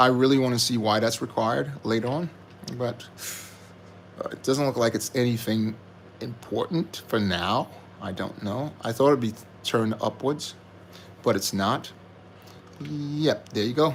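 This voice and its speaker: Soft-spoken, a man talks at a medium pitch and moderate pace. He leaves long, frequent pauses, and his pitch varies in an ordinary way. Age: adult. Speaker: LEGO building streamer. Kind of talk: live stream building commentary. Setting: live stream. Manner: speaking softly.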